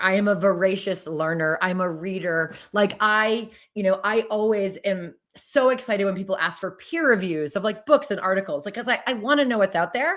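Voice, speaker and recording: Speaking at a fairly quick pace, a woman has an ordinary speaking voice at a medium pitch. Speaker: education author and consultant. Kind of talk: podcast interview.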